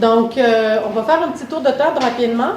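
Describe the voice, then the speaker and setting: Against noticeable background noise and audible room echo, a woman speaks at a moderate pace. Her pitch is fairly high, and she has a slight Canadian French accent. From Canada. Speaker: mental health consultant, workshop facilitator. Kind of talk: workshop presentation. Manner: hesitant, many fillers.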